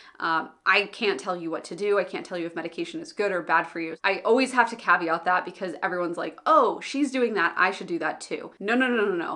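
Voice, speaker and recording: Racing at a very fast pace with hardly any pauses, a woman at a medium pitch uses lively intonation and big swings in loudness amid noticeable background noise. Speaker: business owner and online educator. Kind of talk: vlog monologue. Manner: animated.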